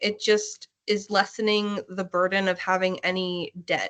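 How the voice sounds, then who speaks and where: A woman with a Pennsylvania accent speaks at a medium pitch in a bright, sharp tone, her intonation fairly even against a quiet background. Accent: Pennsylvania American English. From Hanover, Pennsylvania. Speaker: labor and delivery nurse. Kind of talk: interview answer.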